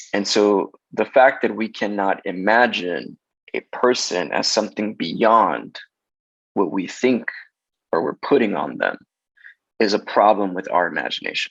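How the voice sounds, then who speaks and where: A man speaks at a fairly slow pace in a fairly low pitch. Long pauses come often. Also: ordinary pitch variation. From Los Angeles, South Central. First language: Spanish. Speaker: casting director. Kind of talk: interview conversation.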